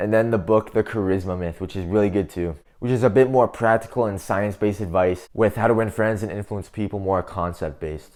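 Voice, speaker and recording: A man's animated voice at a fairly quick pace, with hardly any pauses, on a very clean recording with a silent background. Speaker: self-improvement youtuber. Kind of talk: casual advice monologue to camera. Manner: loud.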